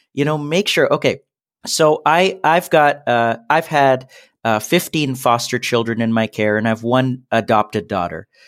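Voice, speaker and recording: A man speaks in an unremarkable speaking voice at medium pitch, with lively intonation and a moderate pace. The recording is very clean, with a silent background. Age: 30s. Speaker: entrepreneur and SEO business owner. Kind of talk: interview.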